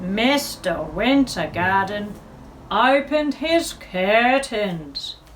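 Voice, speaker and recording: A woman's fairly high, warm voice at a very slow pace, with very wide pitch swings and noticeable background noise. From Australia. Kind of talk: children's story reading. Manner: warm, expressive.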